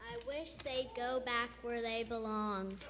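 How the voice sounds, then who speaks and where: A female-sounding put-on character voice is high-pitched and fairly slow. There is clear background noise. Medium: stage play.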